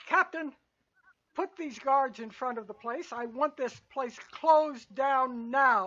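A woman puts on a character voice pitched high, with big swings in loudness. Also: fairly slow pace, ordinary pitch variation. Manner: commanding, authoritative.

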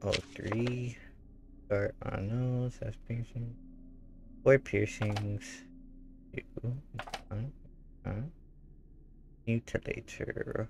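Somewhat breathy, a man of medium pitch speaks very slowly with fairly even intonation. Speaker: gaming streamer. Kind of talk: live gameplay commentary.

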